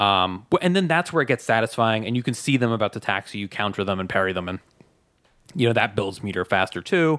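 A man with an unremarkable speaking voice talks at medium pitch and a fairly quick pace in a very clean recording with a silent background. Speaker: podcast co-host. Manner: conversational, joking.

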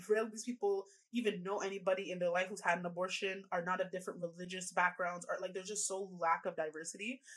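A woman with a Canadian accent and an unremarkable speaking voice, medium in pitch, at a fairly quick pace. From Canada. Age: 20s. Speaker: reproductive rights activist. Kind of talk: podcast interview. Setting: video call.

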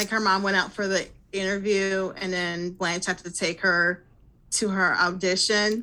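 With an American accent, a woman talks at a fairly slow pace in a flat monotone, her medium-pitched voice bright and sharp on a very clean recording with a silent background. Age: 40s. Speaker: podcaster, guest co-host. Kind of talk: casual chat.

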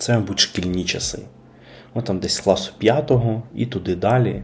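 With vocal fry and ordinary pitch variation, a man talks at a moderate pace. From Kyiv, Ukraine. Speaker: podcast host. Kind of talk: casual monologue.

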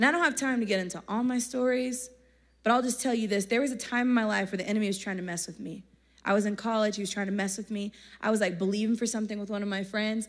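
On a very clean recording with a silent background, a woman talks at a very fast pace in an animated tone with ordinary pitch variation. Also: fairly high pitch for a woman. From Texas. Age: 30s. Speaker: youth speaker. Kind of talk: sermon. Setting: stage with audience.

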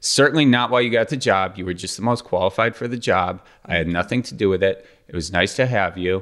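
Speaking with an Upper Midwest accent, a man races along at a very fast pace. His voice sits fairly low, with ordinary pitch variation. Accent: Upper Midwest (Wisconsin). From US Midwest (Wisconsin). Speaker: podcast host and former local TV news host. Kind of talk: casual chat. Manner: jokey.

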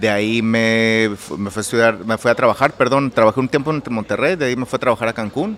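In an unremarkable speaking voice, a man talks at a fairly quick pace and medium pitch with ordinary pitch variation. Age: 30s. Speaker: architect and interior designer. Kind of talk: interview. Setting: his own café.

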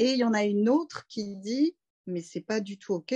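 Dry and close with no echo, a woman's medium-pitched, somewhat breathy voice with a dark, mellow tone moves at a fairly slow pace with ordinary pitch variation. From Paris suburbs, France. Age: 30s. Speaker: doula. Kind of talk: casual interview.

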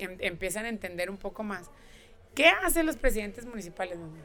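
Music plays in the background as a woman speaks fairly quickly. Her pitch is fairly high. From northern Mexico (Nuevo León). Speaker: politician, gubernatorial candidate. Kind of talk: interview.

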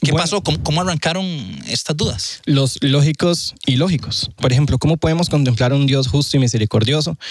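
A fairly quick pace in a Costa Rican accent, with noticeable background noise. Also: man, fairly high pitch for a man, ordinary pitch variation, very even loudness. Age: 20s. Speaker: student, former atheist. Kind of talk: casual chat, testimony.

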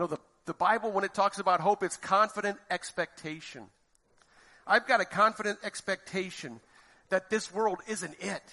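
A man talks in a raised, projected voice with a bright, sharp tone. His pitch is high and his pace is moderate. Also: ordinary pitch variation, dry, close sound with no echo. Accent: American. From Florida, US. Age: 50s. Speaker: lay preacher. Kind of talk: sermon.

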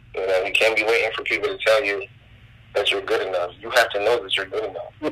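A very fast-paced man with an American accent. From New Jersey. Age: 20s. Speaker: rapper. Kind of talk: casual chat.

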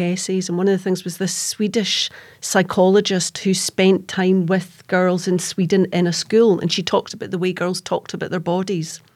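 Speaking at a fairly quick pace, a woman keeps her medium pitch in a monotone, flat intonation on a very clean recording with a silent background. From Scotland, East Kilbride (Lanarkshire). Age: 50s. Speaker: crime author. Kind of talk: roundtable discussion.

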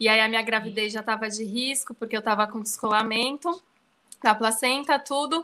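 Her pitch fairly high and its variation ordinary, a woman talks at a fairly quick pace. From Brazil, São Paulo. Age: 30s. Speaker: professional organizer. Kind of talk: casual interview.

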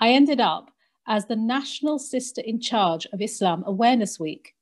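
A woman with an English accent talks at a fairly slow pace, her intonation lively. The recording is very clean, with a silent background. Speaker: podcast co-host and convert community worker. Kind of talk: casual discussion. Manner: talkative.

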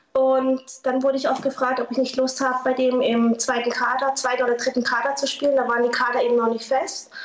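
A high-pitched woman speaks very fast in a monotone, flat way, with very even loudness. Noticeable background noise runs underneath. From southern Baden, Germany (Lörrach). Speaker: former paintball player and artist. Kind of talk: interview.

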